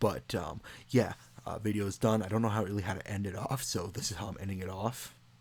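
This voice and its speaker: At a fairly quick pace, a man with a fairly low pitch sounds somewhat breathy, keeping his intonation fairly even. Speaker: YouTube video creator. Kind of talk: casual commentary tutorial. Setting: home at night. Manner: hesitant, filler-heavy.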